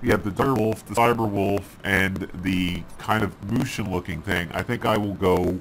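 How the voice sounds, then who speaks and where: Using a normal speaking voice, a man talks at a fairly slow pace with a fairly low pitch and ordinary pitch variation. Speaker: gaming video host. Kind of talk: game commentary.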